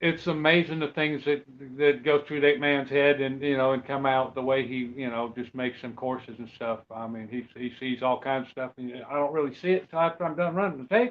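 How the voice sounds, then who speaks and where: Fairly high in pitch, a man speaks in a plain, everyday voice at a fairly quick pace, with hardly any pauses and ordinary pitch variation. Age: 60s. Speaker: off-road truck racer. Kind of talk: casual interview chat.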